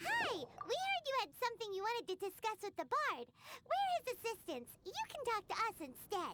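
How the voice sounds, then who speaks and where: It is a put-on character voice, squeaky and extremely high. The pace is moderate. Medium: video game. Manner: blunt, lively.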